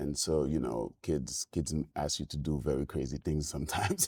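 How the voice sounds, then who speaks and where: A man with a Senegalese accent speaks at a moderate pace in a very deep, low voice with vocal fry and fairly even intonation. His tone is dark and mellow, and the sound is dry and close with no echo. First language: French. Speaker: filmmaker and musician. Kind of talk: podcast interview. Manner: halting.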